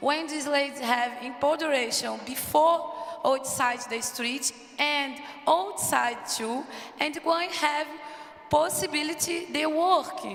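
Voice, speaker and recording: In a Portuguese accent, a speaker talks very slowly with ordinary pitch variation, with audible room echo and noticeable background noise. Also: woman, high pitch for a woman. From Brazil, Rio de Janeiro. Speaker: prison reform advocate, panelist. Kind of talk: panel discussion. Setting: conference stage in a church with audience. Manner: halting, searching for words.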